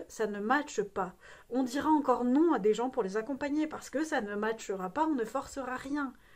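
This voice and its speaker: An animated woman's high-pitched voice at a moderate pace, with ordinary pitch variation. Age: 30s. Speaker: dog trainer. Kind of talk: vlog monologue. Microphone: no microphone, sound issue.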